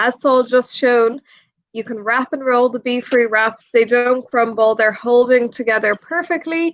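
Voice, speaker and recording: The speaker has an Irish accent. The pace is fairly slow. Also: woman. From Ireland. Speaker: presenter. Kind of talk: live stream hosting.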